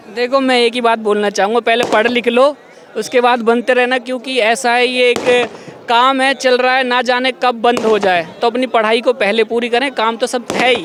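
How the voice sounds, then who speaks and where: A man speaks at a moderate pace in an extremely high pitch, his loudness very even and his intonation monotone and flat, with noticeable background noise behind him. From India, Noida. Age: young. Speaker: YouTube actor. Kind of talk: interview.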